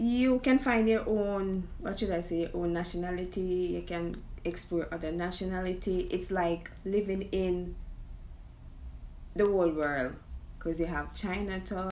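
A woman with a Jamaican accent speaks at a fairly slow pace. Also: ordinary pitch variation. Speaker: immigrant vlogger. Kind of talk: casual talk to camera. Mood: playful, laughing at herself. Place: home room. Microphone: phone near.

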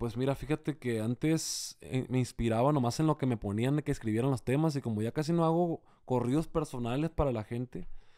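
Here a man talks at a medium pitch and moderate pace, with ordinary pitch variation. His tone is dark and mellow, and the background is quiet. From Sinaloa, Mexico. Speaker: singer and accordionist; interviewee. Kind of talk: casual interview. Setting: hotel room. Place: home room. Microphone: studio mic.

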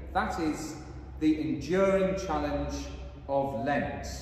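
Speech at a very slow pace carries strong room echo and light background noise. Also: man. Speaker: priest. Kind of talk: liturgy and sermon. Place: church. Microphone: camera far.

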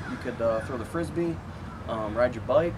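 Noticeable noise sits behind a man's speech. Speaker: school coach. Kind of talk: encouraging message to students. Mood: warm, encouraging. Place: street. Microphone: camera far.

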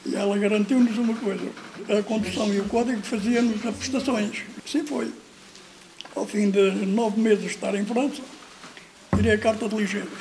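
Against noticeable background noise, a man with a high pitch and fairly even intonation speaks at a moderate pace with long, frequent pauses. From Portugal. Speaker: former emigrant. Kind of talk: testimony. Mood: warm, smiling storytelling. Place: home room.

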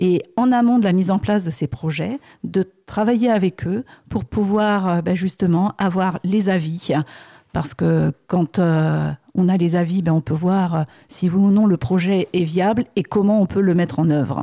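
A dark, mellow tone comes at a fairly slow pace with very even loudness and ordinary pitch variation, in a dry, close sound with no echo. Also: woman, medium pitch for a woman. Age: 50s. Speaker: accountant, municipal candidate. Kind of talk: radio interview.

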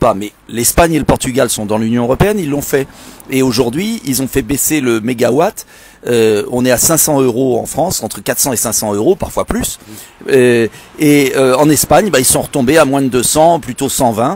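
The sound is dry with no echo, and the speech moves at a moderate pace with ordinary pitch variation. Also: man. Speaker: politician. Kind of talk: political address on a live stream. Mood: indignant, persuasive. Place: street. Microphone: earbuds.

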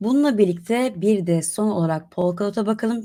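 With a dark, mellow tone, a woman talks using ordinary pitch variation. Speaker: crypto market analyst presenter. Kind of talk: market news and analysis presentation.

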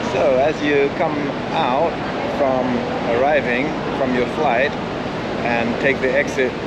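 A man is heard against loud background noise. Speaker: travel vlogger. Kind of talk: tutorial. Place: station. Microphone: phone near.

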